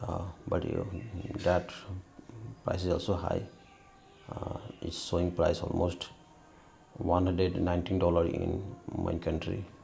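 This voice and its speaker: With a non-native accent, a man speaks in a very deep, low voice amid audible room echo and music in the background. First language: not English. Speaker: tech YouTuber. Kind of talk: product review and troubleshooting video. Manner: halting, many fillers.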